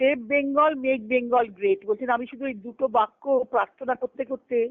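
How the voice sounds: A woman speaks at a moderate pace and a fairly high pitch with fairly even intonation. The sound is dry and close, with no echo.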